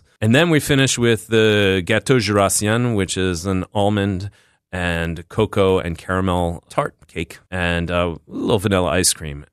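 In a Philadelphia accent, the speaker goes at a fairly slow pace with ordinary pitch variation, recorded dry and close with no echo against a quiet background. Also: man, very deep, low pitch for a man. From US Northeast, West Philadelphia. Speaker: chef and restaurant owner. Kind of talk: interview. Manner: halting.

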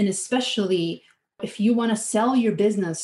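Somewhat breathy, a woman speaks with an American accent. She keeps a moderate pace and ordinary pitch variation. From outside the US. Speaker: fractional CFO, finance consultant. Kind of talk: interview.

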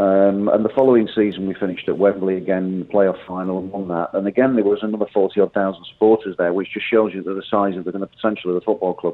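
The delivery is very fast, with hardly any pauses. Intonation stays monotone and flat. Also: man, fairly low pitch for a man. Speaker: football manager. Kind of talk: radio interview. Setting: phone call.

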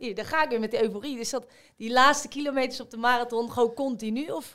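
A woman talks at a very fast pace in a high voice with fairly even intonation. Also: very clean recording, silent background. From Rotterdam, Netherlands. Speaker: amateur marathon runner. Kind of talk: casual chat.

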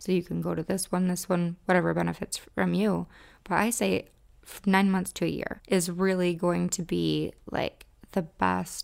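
A woman with a Midwestern US accent is heard on a very clean recording with a silent background. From US Midwest. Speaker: podcast host and romance specialist. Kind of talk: podcast talk, educational and promotional.

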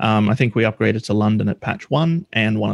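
A man speaks with an Australian accent at a medium pitch, his pitch swinging very widely. The sound is dry and close, with no echo. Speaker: software developer. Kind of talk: casual interview. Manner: hesitant, many fillers.

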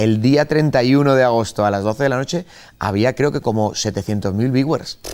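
The man has a normal speaking voice at medium pitch with ordinary pitch variation. The recording is very clean, with a silent background. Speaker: journalist and streamer. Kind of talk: casual chat. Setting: sports bar in a theme park.

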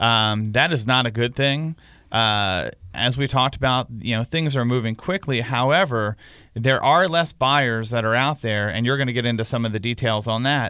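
The speaking voice is unremarkable, with ordinary pitch variation. It keeps a moderate pace. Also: man, medium pitch for a man. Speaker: real estate podcast host. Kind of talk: casual chat.

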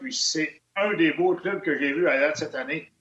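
Lively in intonation and fairly quick in pace, this man's voice sits high in pitch. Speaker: hockey analyst. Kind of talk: casual chat.

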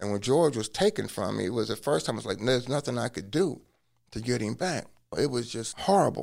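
A man with an American accent talks at a very fast pace in a medium pitch. His voice has vocal fry and very wide pitch swings. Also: very clean recording, silent background. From US Midwest (Cincinnati, Ohio). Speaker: law professor and former attorney. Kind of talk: personal testimony interview.

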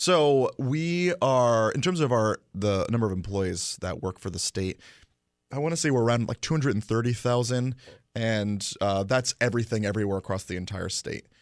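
Lively intonation marks this plain, everyday voice with an American accent, speaking at a moderate pace over a quiet background. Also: man, medium pitch for a man. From Connecticut. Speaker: state legislator. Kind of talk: interview. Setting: studio.

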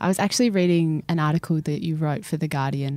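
In an Australian accent, a woman with a very deep, low voice speaks at a fairly quick pace. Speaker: podcast host. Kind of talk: interview.

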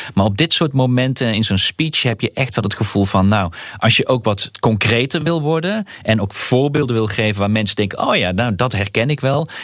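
Using an ordinary speaking voice, a man talks at a moderate pace and medium pitch, with lively intonation, very even loudness and hardly any pauses. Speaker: member of European Parliament. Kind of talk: casual chat. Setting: remote from parliament in Strasbourg.

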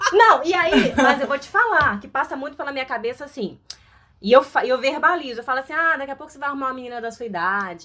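A woman projects her high-pitched voice at a very fast pace, with a bright, sharp tone. Her intonation is lively, and her loudness swings widely. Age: 30s. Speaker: actress. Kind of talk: casual chat.

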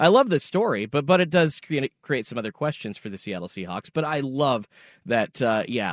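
An ordinary speaking voice from a man, fairly quick and lively in intonation, dry and close with no echo. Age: 30s. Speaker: fill-in sports radio co-host. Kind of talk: sports radio talk. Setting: radio studio.

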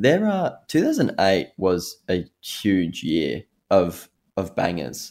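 Very clean recording, silent background, and speech with an Australian accent. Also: man. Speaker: radio host. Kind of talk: radio DJ patter.

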